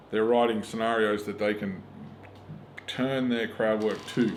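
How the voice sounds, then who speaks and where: A man with a strong Australian accent speaks amid audible room echo and noticeable background noise. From rural Australia. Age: 40s. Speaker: stand-up comedian. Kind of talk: casual interview chat. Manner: animated.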